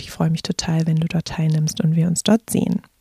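The voice is somewhat breathy with a dark, mellow tone. The sound is dry and close with no echo. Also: woman. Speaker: podcast host and meditation guide. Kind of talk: guided meditation. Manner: slow, calm, soothing; gentle, soft-spoken, with pauses.

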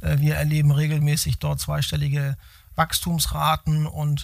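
A man's fairly high voice proceeds at a very slow pace. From Hamburg, northern Germany. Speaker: logistics company executive. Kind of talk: interview. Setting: in-person meeting at company site. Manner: hesitant, many fillers.

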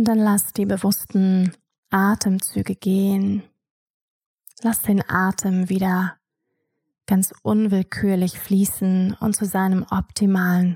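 A woman's dark, mellow, soothing voice at medium pitch, somewhat breathy, very slow with long, frequent pauses, monotone and flat in intonation, very even in loudness, on a very clean recording with a silent background and a dry, close sound with no echo. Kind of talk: guided meditation. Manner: slow, soft-spoken, soothing.

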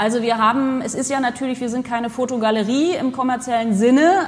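A woman speaks at a high pitch and a moderate pace with fairly even intonation. Noticeable background noise runs underneath. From Germany, Potsdam. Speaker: cultural institute director. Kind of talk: interview. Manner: frequent fillers (äh, ähm).

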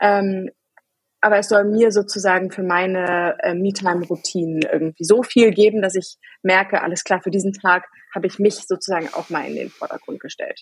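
A woman talks at a moderate pace in a medium pitch, with fairly even intonation. It is a plain, everyday voice. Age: 30s. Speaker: working mother, podcast guest. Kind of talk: casual chat.

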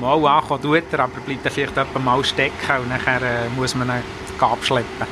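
A man at a moderate pace, flat and monotone in intonation, with noticeable background noise. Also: medium pitch for a man. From Bern, Switzerland. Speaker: transit company CEO. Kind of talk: interview. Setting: in a tram.

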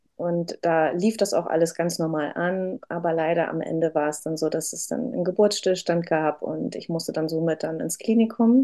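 A woman with a fairly low pitch talks with hardly any pauses over noticeable background noise. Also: ordinary pitch variation, moderate pace. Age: 30s. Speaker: mother sharing birth story. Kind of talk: interview testimony. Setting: in person with host.

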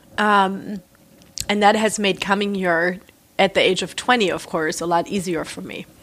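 In a German accent, a woman of medium pitch talks at a moderate pace, her intonation fairly even but her loudness swinging widely. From southern Germany (near Reutlingen, Swabia). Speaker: artist and writer. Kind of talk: interview conversation.

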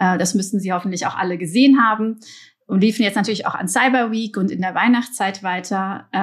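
A woman of medium pitch talks at a fairly quick pace. Her voice is somewhat breathy, with ordinary pitch variation. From Belgium, partly raised in Germany. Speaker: marketing executive. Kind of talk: podcast interview. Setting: remote recording. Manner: hesitant, many fillers.

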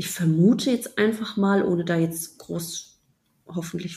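Somewhat breathy, a woman speaks at a fairly slow pace with ordinary pitch variation. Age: 30s. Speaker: app founder. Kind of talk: casual interview.

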